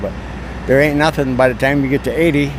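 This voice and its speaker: Over noticeable background noise, a man with an American accent speaks very fast with fairly even intonation. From Wisconsin. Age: 80s+. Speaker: veteran truck driver. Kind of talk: casual interview. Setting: truck stop.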